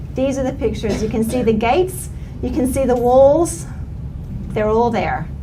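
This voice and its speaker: A woman with an American accent speaks at a high pitch and moderate pace in an animated tone, with ordinary pitch variation and long, frequent pauses. Noticeable background noise and audible room echo fill the recording. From US, West Virginia small town. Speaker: professor, researcher. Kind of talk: conference presentation. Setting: event with live audience. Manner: animated, conversational.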